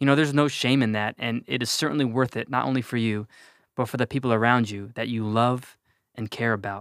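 On a very clean recording with a silent background, a man with an American accent and an unremarkable speaking voice talks fairly quickly at medium pitch with fairly even intonation. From New Jersey. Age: 20s. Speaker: podcast guest sharing mental health story. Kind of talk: personal testimony.

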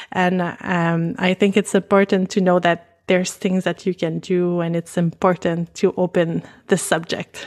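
In a French Canadian accent, a woman with a fairly low pitch speaks at a fairly slow pace with monotone, flat intonation and hardly any pauses. The recording is very clean, with a silent background. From Canada, French-speaking. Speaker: pelvic floor physical therapist. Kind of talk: casual interview, explaining.

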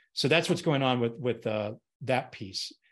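With an American accent, a man uses a normal speaking voice at medium pitch and a moderate pace, with ordinary pitch variation over a quiet background. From Colorado, US. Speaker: consultant and former navy pilot. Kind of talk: casual interview.

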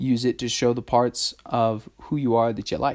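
A man with a Texan accent speaks at medium pitch in a very clean recording with a silent background. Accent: Texan American. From Texas. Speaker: podcast host. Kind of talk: casual solo monologue. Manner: casual, hesitant with fillers.

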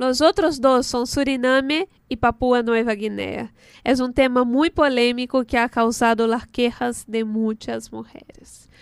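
Speaking fairly slowly with a Portuguese accent, a woman has a high voice and fairly even intonation, recorded with a dry, close sound with no echo. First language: Portuguese (speaking Spanish). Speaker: radio host. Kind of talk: radio show, casual chat.

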